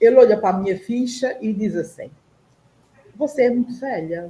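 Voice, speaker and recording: Lively intonation runs through this voice. The speaker is a woman. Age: 60s. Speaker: panel guest on online talk show. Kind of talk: personal testimony in panel discussion.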